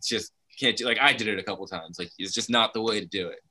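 In an American accent, the man rattles off his words very fast, his medium pitch showing ordinary variation. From New Jersey. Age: 30s. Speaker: former professional snowboarder and videographer. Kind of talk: casual chat.

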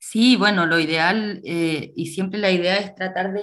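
A woman speaks in a fairly low voice at a fairly slow pace. She has an unremarkable speaking voice with fairly even intonation. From Chile, Coquimbo region. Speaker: actress and theatre teacher. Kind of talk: radio interview.

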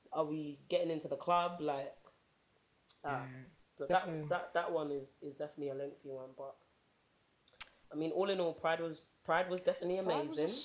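Pausing long and often, a woman talks in a very deep, low voice over noticeable background noise. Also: moderate pace. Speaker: podcast co-host.

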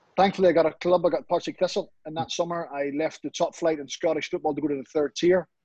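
At a very fast pace, a man in a Northern Irish accent talks with a fairly high pitch, the sound dry and close with no echo. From Northern Ireland, Comber near Belfast. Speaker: football pundit, ex-professional footballer. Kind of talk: interview. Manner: animated.

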